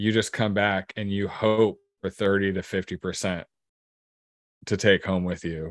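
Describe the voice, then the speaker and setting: A man with a fairly low voice talks at a fairly slow pace in a monotone, flat intonation, with long, frequent pauses. The recording is very clean with a silent background and a dry, close sound with no echo. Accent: American. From Oregon coast, US. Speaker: cannabis grower. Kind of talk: casual chat.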